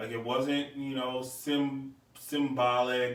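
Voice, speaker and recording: A man at a medium pitch is heard with audible room echo and noticeable background noise. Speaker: podcast host. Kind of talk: casual monologue. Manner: loud.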